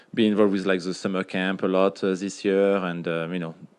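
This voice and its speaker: A man with a French accent speaks with a very deep, low pitch and monotone, flat intonation. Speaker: retired pro soccer player. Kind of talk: casual chat. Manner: hesitant, many fillers.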